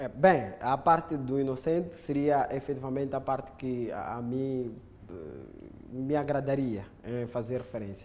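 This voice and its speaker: A man at a fairly slow pace with long, frequent pauses and audible room echo. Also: medium pitch for a man, ordinary pitch variation. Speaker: legal expert. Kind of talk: studio commentary. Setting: studio.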